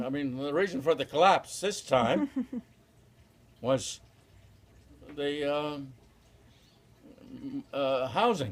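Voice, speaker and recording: Pausing long and often, a man speaks at a very slow pace with a fairly high pitch and ordinary pitch variation. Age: 80s+. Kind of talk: interview answer. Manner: slow, hesitant.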